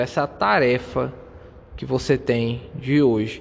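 A man talks with a Brazilian accent. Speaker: podcaster. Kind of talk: motivational monologue. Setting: outdoors.

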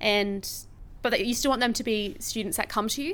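A woman with an Australian accent, a fairly high pitch and a fairly quick pace. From Australia, Brisbane. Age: 20s. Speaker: teacher. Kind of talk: interview.

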